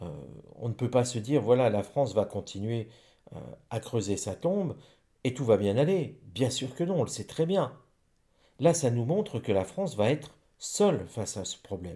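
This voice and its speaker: The tone is dark and mellow, somewhat breathy, with very wide pitch swings and long, frequent pauses at a moderate pace. The recording is very clean, the background silent. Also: man, medium pitch for a man. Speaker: psychic / rune reader. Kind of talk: divination reading monologue. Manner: stumbling over words.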